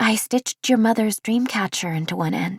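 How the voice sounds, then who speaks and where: A put-on character voice, female-sounding and fairly high in pitch, at a moderate pace. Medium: read story. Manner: warm, gentle.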